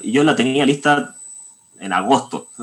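A man at medium pitch with a Chilean accent, at a fairly slow pace. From Chile, Santiago. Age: 20s. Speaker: composer. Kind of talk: interview.

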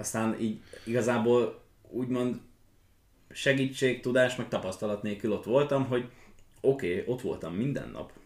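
Speaking at a moderate pace, a man keeps his pitch medium and his intonation fairly even. He takes long, frequent pauses. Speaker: young riding stable owner and equestrian athlete. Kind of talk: casual chat. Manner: halting.

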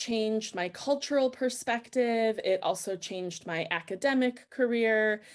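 Against a silent background in a very clean recording, a woman with a fairly high voice speaks very slowly with ordinary pitch variation. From United States. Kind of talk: interview.

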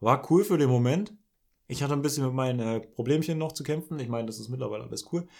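Talking at a very fast pace, a man with a medium pitch uses ordinary pitch variation while his loudness swings widely. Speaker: podcast co-host. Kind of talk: casual chat.

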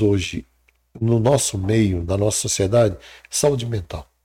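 The voice is somewhat breathy, with a dark, mellow tone at a moderate pace. The recording is very clean, with a silent background. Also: man. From Brazil, Ceará (sertão, Crato). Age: 60s. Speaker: psychologist and mentor. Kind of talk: interview.

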